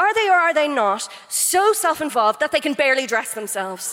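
A woman with an Irish accent and very wide pitch swings, with music in the background. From Ireland. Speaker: comedian. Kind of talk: comic debate speech. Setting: stage with audience.

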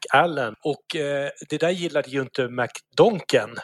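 Using an ordinary speaking voice, a man talks at a fairly high pitch with ordinary pitch variation. The recording is dry and close with no echo. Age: 40s. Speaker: podcast co-host. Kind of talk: casual chat.

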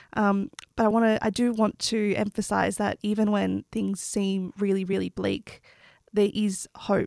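A woman with an Australian accent speaks at a fairly slow pace in a monotone, flat intonation. The recording is very clean with a silent background, and her loudness stays very even. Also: medium pitch for a woman, dry, close sound with no echo. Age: 20s. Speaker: PhD candidate, environmental researcher. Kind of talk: panel discussion.

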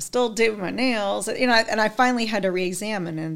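This woman has a normal speaking voice with ordinary pitch variation and a moderate pace. The recording is very clean, with a silent background. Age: 40s. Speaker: skincare sales consultant. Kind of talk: casual chat.

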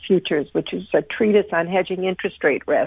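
A woman speaks in an ordinary speaking voice at a medium pitch, with ordinary pitch variation. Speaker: sleep expert and corporate speaker. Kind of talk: interview answering questions.

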